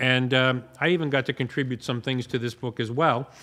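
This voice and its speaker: This man has an unremarkable speaking voice, medium in pitch, and talks at a moderate pace. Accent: American. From US East Coast. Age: 60s. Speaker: drum shop owner. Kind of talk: casual chat. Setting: shop annex. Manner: relaxed.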